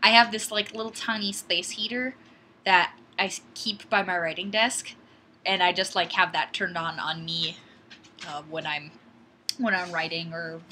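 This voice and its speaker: A woman's fairly low voice with an Upper Midwest accent, ordinary pitch variation and a moderate pace. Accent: Upper Midwest American. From Wisconsin. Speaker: YouTuber on guns and fitness. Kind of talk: live stream chat. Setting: webcam live stream at home. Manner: rambling, casual.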